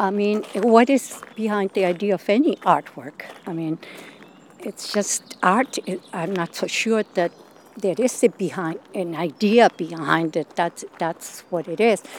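Amid noticeable background noise, a woman with a Spanish accent talks at a medium pitch and a fairly slow pace, with a dry, close sound and no echo. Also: ordinary pitch variation. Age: 70s. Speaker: performance artist. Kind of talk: interview.

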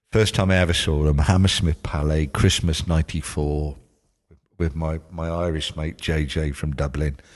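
In a South Wales accent, a man speaks with a very deep, low pitch and fairly even intonation. His pace is fairly slow, and the background is quiet. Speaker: music journalist. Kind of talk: casual chat.

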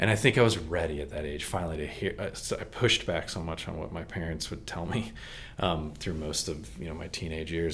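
A man speaks with vocal fry and a very deep, low pitch in an American accent. Room echo is audible. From Texas and Maryland, US. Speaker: church member sharing testimony. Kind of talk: testimony.

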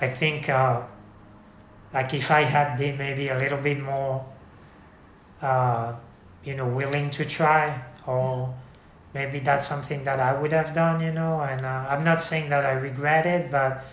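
Audible room echo surrounds a man speaking at a fairly slow pace in a fairly high pitch, with monotone, flat intonation and long, frequent pauses. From France. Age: 50s. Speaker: amateur cyclist. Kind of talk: casual interview. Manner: halting.

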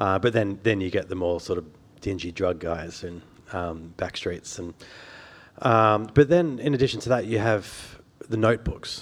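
In an Australian accent, a man with a fairly low pitch and lively intonation speaks at a moderate pace on a very clean recording with a silent background. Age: 40s. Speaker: journalist and biographer. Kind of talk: author talk. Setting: stage with audience.

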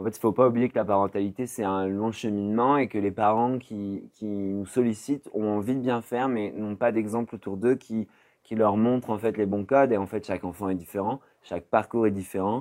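A man with a fairly low pitch speaks at a fairly quick pace with fairly even intonation. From France, Poitiers. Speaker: social worker and association director. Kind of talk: interview. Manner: hesitant, many fillers.

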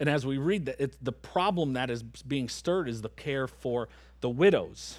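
On a very clean recording with a silent background, a man with a plain, everyday voice talks at medium pitch and a moderate pace with ordinary pitch variation. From Michigan. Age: 30s. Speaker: pastor. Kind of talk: sermon. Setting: church.

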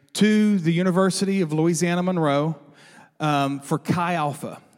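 A man talks at a fairly slow pace, high in pitch with ordinary variation. The recording is very clean, with a silent background. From South Arkansas, Norphlet. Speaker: church staff member. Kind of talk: sermon introduction. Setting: church.

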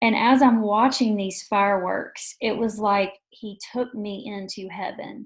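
Somewhat breathy speech at a fairly slow pace, with fairly even intonation, hardly any pauses and big swings in loudness. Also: woman, fairly high pitch for a woman. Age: 40s. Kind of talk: testimony.

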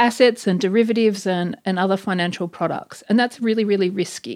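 An Australian accent comes through at a fairly quick pace with ordinary pitch variation in a very clean recording with a silent background. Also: woman. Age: 40s. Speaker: academic author. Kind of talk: casual interview.

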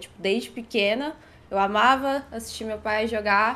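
A woman with a fairly high pitch uses an unremarkable speaking voice and ordinary pitch variation. The recording is very clean, with a silent background. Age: 20s. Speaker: gaming content creator. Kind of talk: casual chat.

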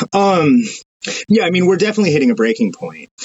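A man speaks with an American accent and vocal fry. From United States. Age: 30s. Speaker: journalist. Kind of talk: casual chat.

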